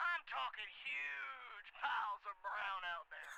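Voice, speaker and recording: A man uses a gruff, put-on character voice pitched high, talking at a fairly slow pace over light background noise. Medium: video game. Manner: blunt, gruff, impatient.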